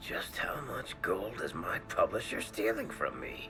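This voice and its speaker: Over loud background music, a man does a cartoonish character voice at a fairly slow pace. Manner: wry, dry.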